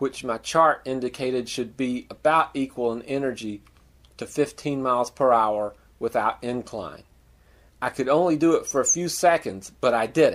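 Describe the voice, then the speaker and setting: A man with an unremarkable speaking voice, medium in pitch, at a moderate pace with ordinary pitch variation, on a very clean recording against a silent background. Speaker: masters sprinter. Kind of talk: personal story narration.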